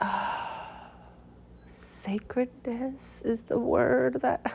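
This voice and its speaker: Noticeable background noise runs under this recording. A woman talks at a very slow pace. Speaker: meditation guide. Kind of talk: guided meditation talk, live unscripted. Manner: halting, with fillers.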